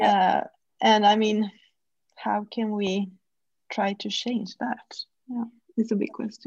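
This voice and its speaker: Speaking at a very slow pace with long, frequent pauses, a woman uses a fairly high, somewhat breathy voice and fairly even intonation. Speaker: podcast host. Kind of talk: interview conversation.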